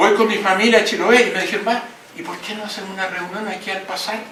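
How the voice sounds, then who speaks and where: Here a man projects a raised voice at a moderate pace. Audible room echo and noticeable background noise surround him. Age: 80s+. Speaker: book editor and former politician. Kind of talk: speech at book launch.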